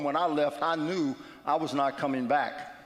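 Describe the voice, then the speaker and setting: Audible room echo surrounds the voice of a man speaking in an American accent. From West Virginia. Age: 60s. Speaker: guest speaker at church. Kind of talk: testimony. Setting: church.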